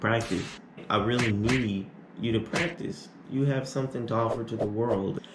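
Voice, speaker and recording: With audible room echo, a man in an American accent speaks at medium pitch and a moderate pace. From Arizona. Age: 20s. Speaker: YouTuber. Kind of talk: Q&A vlog. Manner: casual.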